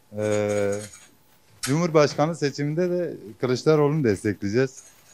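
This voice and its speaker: Over a silent background in a very clean recording, a man with a fairly high pitch speaks at a moderate pace with lively intonation. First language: Kurdish (speaking Turkish). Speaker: interviewee in street poll. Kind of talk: vox pop interview.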